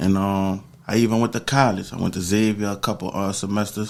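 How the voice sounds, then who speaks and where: A plain, everyday voice from a man with an American accent, fairly low in pitch with fairly even intonation, on a very clean recording with a silent background. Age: 40s. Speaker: former prisoner. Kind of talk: interview. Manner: casual, slangy.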